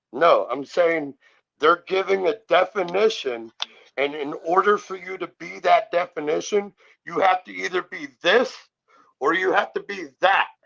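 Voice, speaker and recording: Loud and bright with a sharp edge, a man's high voice moves at a fairly slow pace with ordinary pitch variation. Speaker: sovereign citizen commentator. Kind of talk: heated debate.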